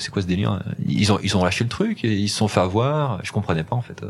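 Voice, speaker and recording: A man is speaking. His intonation is lively. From France, Loire (Saint-Chamond area). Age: 40s. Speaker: e-commerce entrepreneur. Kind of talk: interview. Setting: company offices. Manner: halting, with repeated words and hesitations.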